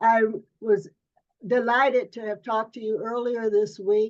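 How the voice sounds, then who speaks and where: A woman speaks in a fairly high pitch at a fairly slow pace, her intonation monotone and flat. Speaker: publisher and editor. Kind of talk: interviewer.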